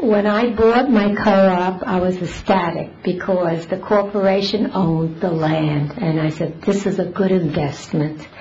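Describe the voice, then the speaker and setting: A woman speaks at a medium pitch with ordinary pitch variation and a fairly slow pace, hardly pausing at all. Noticeable background noise sits behind her voice. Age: 80s+. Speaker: resident speaking at public comment. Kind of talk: public comment at council meeting. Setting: town council meeting with audience.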